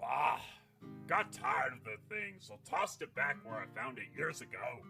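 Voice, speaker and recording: A man puts on a gruff character voice at a moderate pace. Clear music plays in the background. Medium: actual play. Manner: gruff, blustery, hearty.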